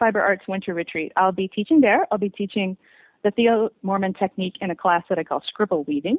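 Speaking at a fairly quick pace, a woman has a plain, everyday voice of medium pitch with ordinary pitch variation. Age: 40s. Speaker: weaver and craft author. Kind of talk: interview.

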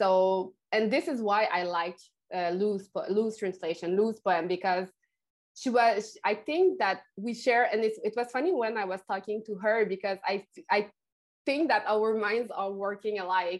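A woman's fairly high voice at a moderate pace, with big swings in loudness, ordinary pitch variation and a quiet background. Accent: Quebec. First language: French. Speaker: poet and translator. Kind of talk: interview, casual chat.

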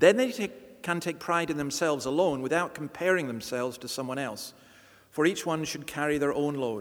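Ordinary pitch variation runs through a man's speech at a moderate pace. He has a Scottish accent. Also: fairly high pitch for a man. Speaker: church reader and host. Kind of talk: reading aloud scripture.

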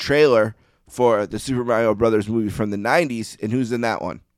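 Heard in a very clean recording with a silent background, a man with an unremarkable speaking voice talks fairly quickly at a medium pitch with ordinary pitch variation. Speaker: podcast host. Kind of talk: casual chat.

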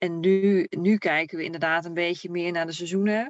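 A woman with an ordinary speaking voice talks at a moderate pace, her fairly low pitch carrying fairly even intonation. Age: 30s. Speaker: camper traveler. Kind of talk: casual interview.

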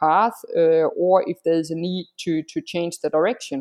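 A woman with a fairly low pitch speaks at a moderate pace in an ordinary speaking voice. The sound is dry and close with no echo, over a quiet background. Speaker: freelancer. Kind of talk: interview. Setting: video or phone call, from Singapore.

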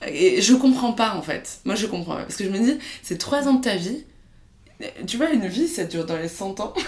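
A woman's fairly high voice at a moderate pace, with very wide pitch swings, big swings in loudness, and long, frequent pauses. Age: 20s. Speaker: startup co-founder. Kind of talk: interview. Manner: hesitant, many filler sounds.

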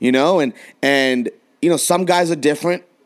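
A man with an American accent. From San Diego, California. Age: 20s. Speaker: podcast host and coach. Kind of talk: casual chat. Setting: remote recording at separate locations.

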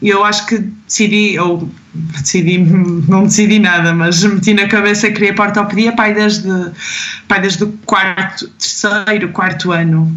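A woman speaks with fairly even intonation. Audible room echo and noticeable background noise surround her. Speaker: medical resident and gymnastics choreographer. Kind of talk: casual interview.

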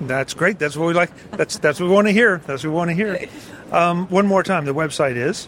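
High-pitched male speech at a fairly quick pace amid noticeable background noise, with ordinary pitch variation. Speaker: podcast host. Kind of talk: trade show interview. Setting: trade show booth.

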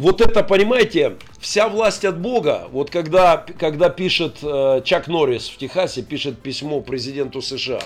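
An animated tone with lively intonation. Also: man, high pitch for a man, fairly slow pace, big swings in loudness. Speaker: pastor and army chaplain. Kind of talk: radio talk show interview. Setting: radio studio. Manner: animated, forceful.

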